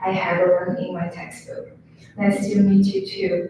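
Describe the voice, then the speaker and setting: The speaker has a Chinese accent and a monotone, flat intonation. Noticeable background noise and audible room echo fill the recording. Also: woman. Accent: Mandarin Chinese. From China. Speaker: student. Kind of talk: reading aloud personal essay. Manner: halting.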